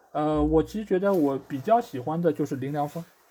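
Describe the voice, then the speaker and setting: Dark, mellow tone on a very clean recording with a silent background. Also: man. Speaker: football podcast host. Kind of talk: casual chat.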